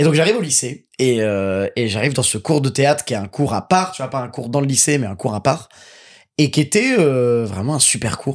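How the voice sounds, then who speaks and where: In a very clean recording with a silent background, a man with a plain, everyday voice at medium pitch speaks at a moderate pace with lively intonation. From Paris suburbs, Seine-Saint-Denis (Pantin/Aubervilliers). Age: 20s. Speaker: actor and voice dubber. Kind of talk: casual chat.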